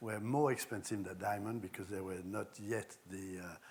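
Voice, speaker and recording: A man speaks with a French accent. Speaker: architect and designer. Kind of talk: public talk with slides.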